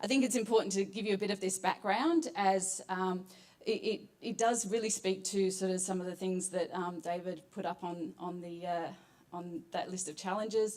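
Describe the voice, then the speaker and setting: This woman has an Australian accent and a medium pitch. She keeps a moderate pace and fairly even intonation. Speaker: psychologist, competition finalist. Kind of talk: presentation pitch.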